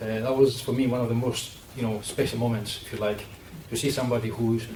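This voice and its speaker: A man at medium pitch in a monotone, flat intonation, at a very fast pace, with audible room echo and noticeable background noise. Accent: Greek. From Greece. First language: Greek. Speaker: sports nutritionist. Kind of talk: panel discussion.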